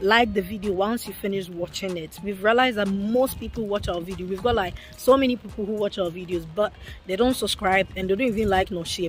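Faint music sits in the background of this dry recording with no echo, and the voice has ordinary pitch variation. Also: woman. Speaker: family vlogger. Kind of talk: casual vlog chat. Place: rain. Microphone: phone near.

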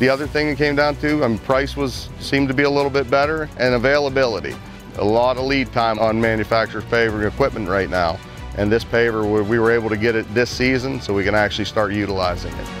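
A man talks at a very fast pace with ordinary pitch variation. Clear music plays behind him, and the sound is dry with no echo. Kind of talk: interview answer. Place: open country.

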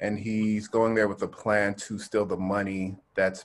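A man in a normal speaking voice with an American accent, fairly low in pitch, at a moderate pace with fairly even intonation. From Texas. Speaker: film director. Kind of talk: panel Q&A. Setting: video call. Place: home room. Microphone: earbuds.

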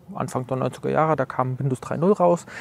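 Dry and close with no echo, a man's voice moves at a moderate pace with ordinary pitch variation, against noticeable background noise. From Leipzig, eastern Germany. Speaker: author and computer history collector. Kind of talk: casual interview. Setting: outdoors in front of a cultural hall.

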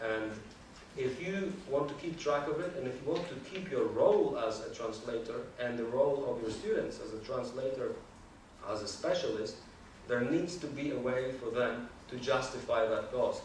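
A man's medium-pitched voice with a slightly mellow tone, moderate pace, ordinary pitch variation and audible room echo.

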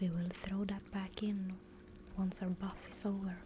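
Soft-spoken and very slow, a woman speaks with flat, monotone intonation over noticeable background noise. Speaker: streamer. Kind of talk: casual gaming chat, soft-spoken. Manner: soft-spoken, hushed close-mic voice. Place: home room. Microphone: studio mic.

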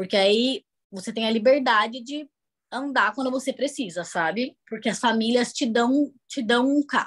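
In a quiet background, a woman speaks at a fairly slow pace in a high pitch, with ordinary pitch variation. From Brazil, Campinas region; Brazil. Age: 20s. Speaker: au pair; guest. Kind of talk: interview. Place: home room. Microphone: video call.

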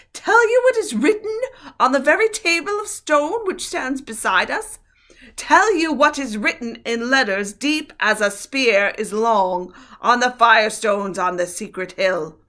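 On a very clean recording with a silent background, a shrill, female-sounding put-on character voice with a high pitch and very wide pitch swings moves at a moderate pace. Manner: accusing, declamatory.

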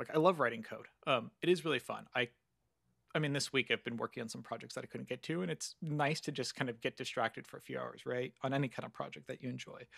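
A man with a Californian accent talks at a very fast pace with vocal fry and ordinary pitch variation, against a quiet background with a dry sound and no echo. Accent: Californian American. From Southern California. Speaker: computer science lecturer. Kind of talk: interview conversation. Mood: friendly, engaged. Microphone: studio mic.

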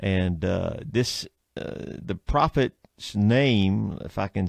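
A man with a Southern US accent speaks at a fairly low pitch with very wide pitch swings. The sound is dry and close with no echo, on a very clean recording with a silent background. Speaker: radio show host, preacher. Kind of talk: religious talk radio chat.

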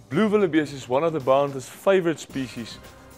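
A man talks at a fairly quick pace while faint music plays in the background. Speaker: presenter. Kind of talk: instructional presentation. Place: studio. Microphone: lapel.

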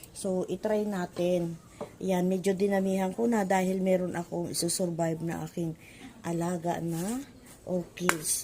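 The speech comes at a fairly slow pace with fairly even intonation, against noticeable background noise. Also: woman, medium pitch for a woman. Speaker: home gardening vlogger. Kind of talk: casual tutorial vlog. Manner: conversational, hesitant.

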